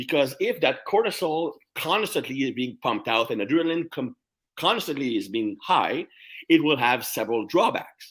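With lively intonation and a French Canadian accent, a man speaks at a moderate pace. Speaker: strength coach. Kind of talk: casual interview.

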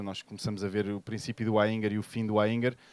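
Speaking at a fairly quick pace, a man uses a fairly low voice. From Portugal, Sintra. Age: 40s. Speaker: yoga teacher. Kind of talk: live podcast interview. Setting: stage with audience.

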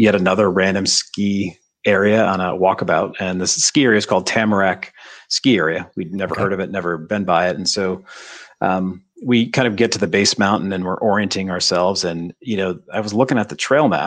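Speaking at a fairly quick pace in an American accent, a man uses an unremarkable speaking voice at a fairly low pitch with ordinary pitch variation. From upstate New York (Adirondacks). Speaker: ski company co-founder, book publisher. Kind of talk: interview. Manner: casual with frequent fillers.

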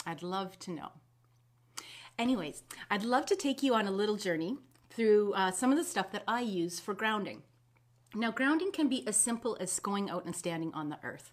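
At a moderate pace, a woman with a medium pitch and lively intonation speaks with long, frequent pauses. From Canada, Winnipeg. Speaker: holistic health practitioner. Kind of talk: live video talk to viewers. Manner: casual, hesitant with many fillers.

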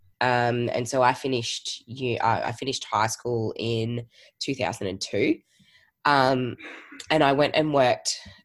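A woman with an Australian accent speaks at a very slow pace in a very deep, low voice, her intonation fairly even, with long, frequent pauses on a very clean recording over a silent background. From Australia, Geelong. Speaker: virtual assistant business owner. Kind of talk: casual interview. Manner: hesitant, many fillers.

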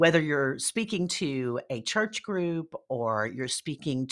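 In a Southern US accent, the delivery is animated with lively intonation. The pace is fairly slow. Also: woman, very clean recording, silent background. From US Deep South. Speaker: speaker coach and storytelling strategist. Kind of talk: interview conversation.

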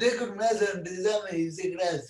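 A man with fairly even intonation. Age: 30s. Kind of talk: interview.

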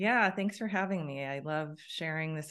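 A woman speaks over a quiet background. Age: 50s. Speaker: wellness educator. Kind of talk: interview.

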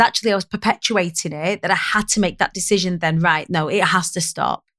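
Someone with a Lancashire accent talks fairly quickly with ordinary pitch variation in a very clean recording with a silent background. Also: woman. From northern England, Preston, Lancashire. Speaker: public speaking coach. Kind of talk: casual interview chat.

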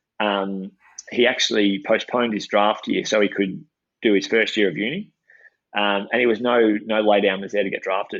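A man's fairly low voice with an Australian accent, flat and monotone, at a moderate pace. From regional Victoria, Australia (Shepparton). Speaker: former pro footballer and coach. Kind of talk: podcast interview. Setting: outdoors at a football oval, video call.

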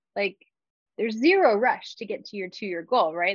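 A plain, everyday voice at a moderate pace. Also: woman. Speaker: wellness and life coach. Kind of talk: casual interview chat.

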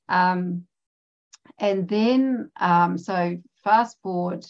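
Speaking very slowly in a New Zealand accent, a woman uses a fairly low pitch with ordinary variation. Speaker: abstract artist and former teacher. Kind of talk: interview conversation. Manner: halting, with many fillers.

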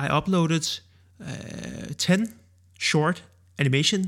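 In a very clean recording with a silent background, a man speaks with a Danish accent and ordinary pitch variation. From Denmark. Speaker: video creator and podcast host. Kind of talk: solo podcast monologue. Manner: hesitant, with frequent filler words.

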